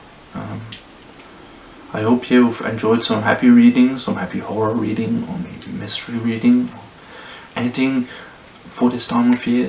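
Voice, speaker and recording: A man speaks at a moderate pace with a non-native accent, leaving long, frequent pauses over noticeable background noise. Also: big swings in loudness. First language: not English. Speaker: booktuber. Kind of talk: casual book review vlog. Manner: hesitant, many fillers.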